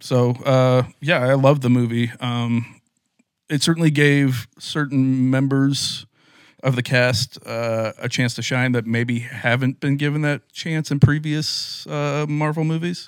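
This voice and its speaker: Over a silent background in a very clean recording, a plain, everyday voice speaks at a fairly slow pace with fairly even intonation. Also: man, medium pitch for a man. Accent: American. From US Midwest, Indiana. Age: 30s. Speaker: podcast co-host. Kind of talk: casual chat.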